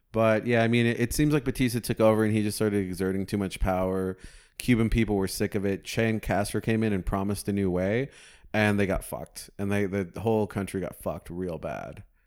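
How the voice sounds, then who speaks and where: With a Southwestern US accent, a man talks at a fairly quick pace in a fairly low voice with fairly even intonation, in a very clean recording with a silent background. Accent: US Southwest American. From Phoenix, Arizona. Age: 20s. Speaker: comedian. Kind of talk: casual chat.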